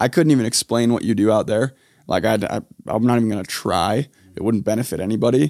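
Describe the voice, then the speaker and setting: Recorded very cleanly with a silent background and a dry, close sound with no echo, a man speaks at a very fast pace with an American accent and ordinary pitch variation. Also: medium pitch for a man. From Utah. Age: 20s. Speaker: podcast host. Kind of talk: casual interview. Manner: animated.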